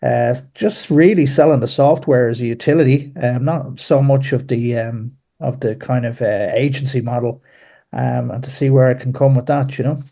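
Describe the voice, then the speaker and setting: A man with an Irish accent speaks at a moderate pace and a medium pitch. His tone is dark, mellow and somewhat breathy, with fairly even intonation. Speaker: caller. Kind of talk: casual chat. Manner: halting.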